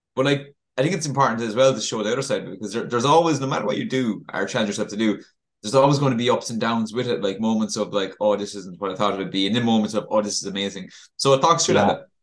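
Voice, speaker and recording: A man in an Irish accent rattles along at a very fast pace, at a medium pitch with ordinary pitch variation. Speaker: podcast co-host, coach. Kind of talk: casual chat. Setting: video call. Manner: halting, repetitive.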